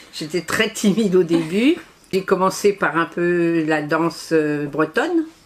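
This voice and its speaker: Her pitch is fairly low and shows ordinary variation. The woman speaks at a very slow pace against noticeable background noise. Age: 80s+. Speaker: association volunteer representative. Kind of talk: interview. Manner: hesitant.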